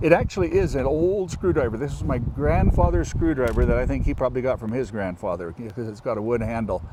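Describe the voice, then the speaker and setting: A man speaks at a very fast pace with hardly any pauses. Noticeable background noise runs underneath. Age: 60s. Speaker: farmer. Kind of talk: tutorial.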